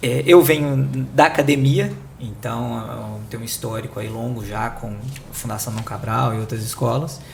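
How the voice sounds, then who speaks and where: Someone with a Minas Gerais accent uses lively intonation and big swings in loudness, with audible room echo and noticeable background noise. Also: man, medium pitch for a man, moderate pace. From Belo Horizonte, Brazil. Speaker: corporate sustainability director, former academic. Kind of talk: panel interview.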